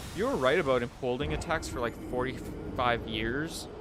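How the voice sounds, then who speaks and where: At a moderate pace and with ordinary pitch variation, the speaker talks with a Canadian accent over music in the background. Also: man. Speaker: gaming streamer. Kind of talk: live gameplay stream chat. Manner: casual, chatty with pauses.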